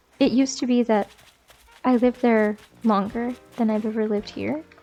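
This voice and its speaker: A woman talks at a moderate pace in a relaxed tone, her pitch fairly high, with noticeable background noise behind her. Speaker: gaming streamer. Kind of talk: casual chat while gaming, ASMR-ish. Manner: soft-spoken, relaxed.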